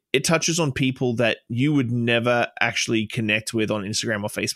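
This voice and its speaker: Recorded very cleanly against a silent background, a man with an Australian accent speaks at a fairly quick pace and medium pitch, with fairly even intonation and a dry, close sound with no echo. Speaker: bartender and social media creator. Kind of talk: casual chat. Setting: studio.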